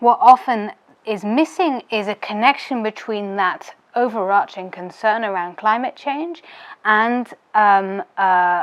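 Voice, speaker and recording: Talking at a fairly slow pace, a woman with a British accent uses a fairly high pitch and ordinary pitch variation. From United Kingdom. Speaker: policy adviser. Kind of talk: interview answer.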